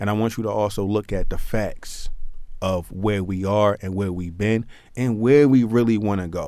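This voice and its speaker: A man talks at a moderate pace in a fairly low, dark, mellow voice. His intonation is fairly even. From Baltimore, East Baltimore. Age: 20s. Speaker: mayoral candidate, small business owner. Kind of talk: radio interview.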